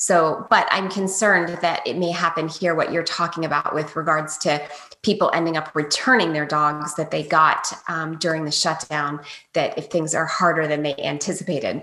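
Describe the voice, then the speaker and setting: In an American accent, a woman with a fairly low pitch talks at a moderate pace with fairly even intonation, an unremarkable speaking voice. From US Maryland. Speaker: dog trainer. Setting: video call.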